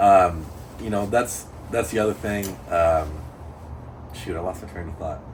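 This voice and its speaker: Speaking at a moderate pace with a very deep, low pitch and ordinary pitch variation, a man leaves long, frequent pauses as his loudness swings widely in a room with audible echo. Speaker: amateur drift car driver. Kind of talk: casual chat.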